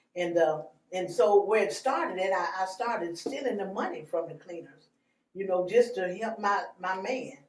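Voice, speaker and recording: At a moderate pace, a woman speaks at medium pitch with ordinary pitch variation and audible room echo. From Arkansas, West Memphis. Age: 60s. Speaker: evangelist. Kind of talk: testimony. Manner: halting.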